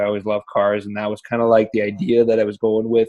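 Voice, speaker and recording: A man with a French Canadian accent at a medium pitch, against a quiet background. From French Canada. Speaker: digital entrepreneur. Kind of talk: interview. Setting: call.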